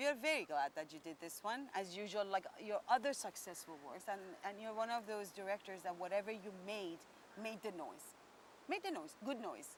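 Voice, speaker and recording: A woman with a slight Indian accent speaks at a moderate pace in a medium pitch, her intonation lively. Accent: foreign accent, slightly Indian-tinged. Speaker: entertainment interviewer. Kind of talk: interview.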